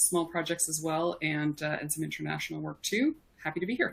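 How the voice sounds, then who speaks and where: Fairly even intonation in a woman's voice pitched fairly low. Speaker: HR and talent executive. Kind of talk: panel discussion.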